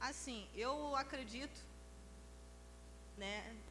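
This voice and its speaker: The speaker is soft-spoken, and audible room echo surrounds the voice. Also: woman. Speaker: church member. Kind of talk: group discussion. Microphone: too quiet.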